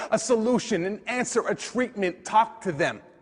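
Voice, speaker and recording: Noticeable background noise sits behind a man's extremely high voice. His intonation is lively. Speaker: slam poet. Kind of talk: slam poetry performance.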